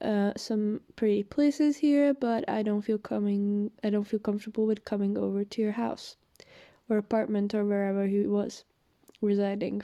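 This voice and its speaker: With a non-native accent, a woman speaks at a fairly high pitch in a dark, mellow tone. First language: not English. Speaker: vlogger telling personal story. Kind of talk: personal testimony. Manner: hesitant, many fillers.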